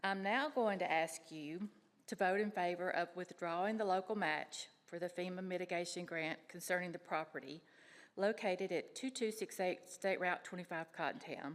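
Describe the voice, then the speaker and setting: A woman with a Tennessee accent speaks at a moderate pace and a medium pitch. Her voice is shaky, with ordinary pitch variation. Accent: Tennessee Southern. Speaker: public commenter. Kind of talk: public comment at county meeting. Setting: county commission chambers.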